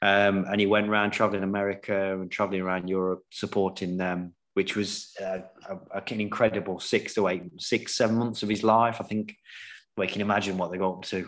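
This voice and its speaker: In an East Midlands accent, a man speaks at a fairly quick pace in a flat monotone against a quiet background. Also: fairly low pitch for a man. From England, Nottingham. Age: 40s. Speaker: professional snooker player. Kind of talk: casual chat.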